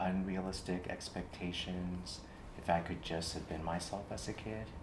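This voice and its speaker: A man's very deep, low voice, monotone and flat, at a moderate pace with audible room echo. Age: 60s. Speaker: clinician in training. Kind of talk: therapy role-play demonstration. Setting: training workshop in Austin, Texas.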